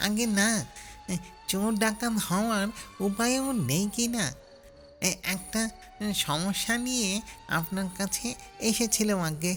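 Clear music plays behind a nasal, fairly high put-on character voice that moves at a fairly slow pace. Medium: read story. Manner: hesitant, stammering, polite.

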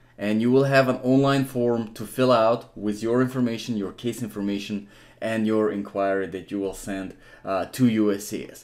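His pace is moderate as a man talks. The intonation stays fairly even. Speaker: immigration help channel host. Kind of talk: tutorial.

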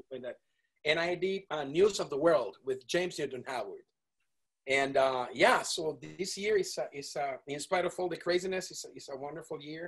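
At a moderate pace, a man with a high pitch for a man speaks with ordinary pitch variation, big swings in loudness and long, frequent pauses, over a quiet background. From Venezuela. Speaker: multi-instrumentalist wind musician; guest. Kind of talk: interview. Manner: animated. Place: studio. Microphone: video call.

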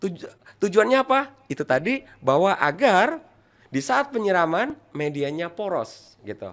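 A man with a high pitch talks at a fairly slow pace, his pitch swinging very widely. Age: 50s. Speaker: toll road employee and ornamental plant seller; guest, plant seller. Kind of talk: online talk with plant-care tutorial. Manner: halting, with frequent fillers. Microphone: studio mic.

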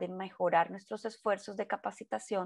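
A woman's voice sounds dry and close, without any echo. The background stays quiet. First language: Portuguese (speaking Spanish). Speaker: webinar host. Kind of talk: scripted webinar introduction. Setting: online webinar. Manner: formal.

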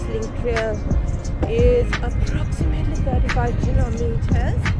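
Over loud background music, a woman talks at a very slow pace in a dry sound with no echo. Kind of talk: casual vlog chat. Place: bicycle. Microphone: phone near.

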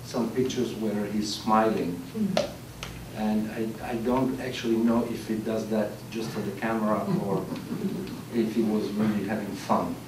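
Noticeable background noise sits under a man's speech. His intonation is fairly even and his pace moderate. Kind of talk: lecture. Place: hall. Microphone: camera far.

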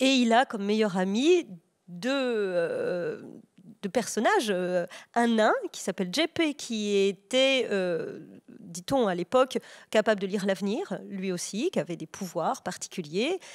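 Over a quiet background, a woman speaks very slowly at a fairly high pitch with lively intonation. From Burgundy, France (Morvan). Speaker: novelist. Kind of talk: interview answer. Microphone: handheld.

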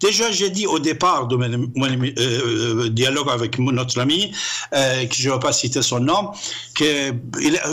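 Delivery runs at a fairly slow pace. The pitch shows ordinary variation. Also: man. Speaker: radio show host. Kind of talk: heated monologue, call-in show. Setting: call-in radio show, phone. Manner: animated, emphatic. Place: studio.

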